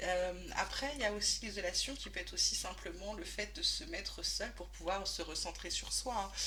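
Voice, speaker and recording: Over noticeable background noise and audible room echo, a woman talks at a moderate pace with hardly any pauses. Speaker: tarot reader. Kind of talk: tarot reading monologue. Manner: soft-spoken today, usually loud; hesitant, many fillers.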